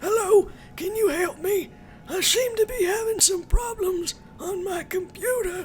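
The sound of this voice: A put-on character voice at an extremely high pitch goes at a moderate pace over clear background noise.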